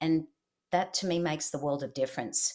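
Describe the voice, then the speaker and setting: Fairly quick, fairly low-pitched woman's voice in an Australian accent. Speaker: leadership expert and keynote speaker. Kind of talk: interview.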